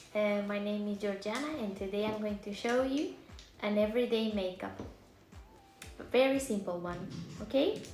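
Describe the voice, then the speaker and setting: A woman with a Romanian accent and a fairly high pitch, audible room echo, and music in the background. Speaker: makeup vlogger. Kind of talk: tutorial. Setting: livestream. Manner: casual, halting.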